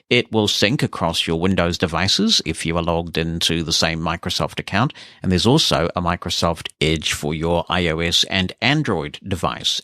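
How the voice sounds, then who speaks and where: In a New Zealand accent, a man speaks at a moderate pace with a very deep, low pitch and a bright, sharp tone. The very clean recording has a silent background and a dry, close sound with no echo. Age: 50s. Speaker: podcast host. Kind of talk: podcast monologue, reading listener emails.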